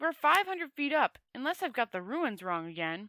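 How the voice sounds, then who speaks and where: Using a put-on character voice, a woman speaks high in pitch with very wide pitch swings, the sound dry and close with no echo. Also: moderate pace. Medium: read story.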